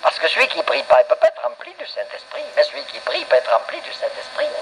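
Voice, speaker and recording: A man's monotone, flat delivery against noticeable background noise. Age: 70s. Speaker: pastor. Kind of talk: sermon.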